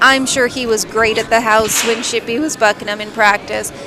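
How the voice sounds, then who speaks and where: A woman with an American accent talks at a fairly high pitch in a monotone, flat delivery. Noticeable background noise is present. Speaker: livestream co-commentator. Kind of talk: live commentary.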